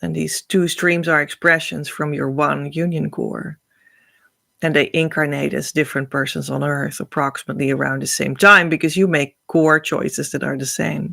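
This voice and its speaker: Someone speaks at a moderate pace with a Dutch accent. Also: woman. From Netherlands. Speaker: spiritual teacher. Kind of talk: spiritual teaching talk. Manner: halting.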